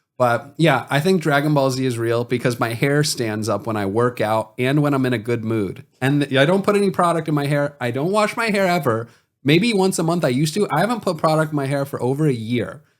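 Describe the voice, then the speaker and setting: A man at a fairly high pitch and a fairly quick pace, with hardly any pauses, on a very clean recording with a silent background. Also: lively intonation. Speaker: comedian and podcast host. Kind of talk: casual chat. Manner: gentle, talks as if to a pet.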